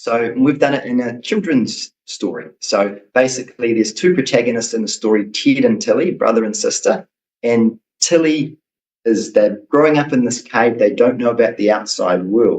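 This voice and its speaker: At a moderate pace, a man with a New Zealand accent talks at medium pitch with ordinary pitch variation. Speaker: children's book author. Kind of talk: interview.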